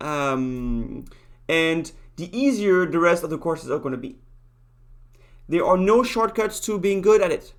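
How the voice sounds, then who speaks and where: Fairly slow delivery in a strong French accent, with long, frequent pauses. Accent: thick French. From France. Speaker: university lecturer. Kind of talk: lecture. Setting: video call. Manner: halting.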